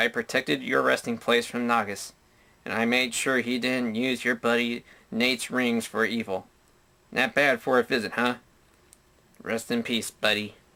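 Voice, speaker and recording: Using a put-on character voice at a medium pitch, a man speaks at a moderate pace with long, frequent pauses, in a very clean recording with a silent background. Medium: solo performance. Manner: cocky, quippy.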